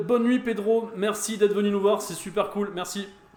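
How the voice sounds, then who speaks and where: Noticeable background noise sits behind a man with a high pitch. His intonation is flat and monotone. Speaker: pinball streamer. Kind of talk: live stream gameplay commentary. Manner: halting, many fillers.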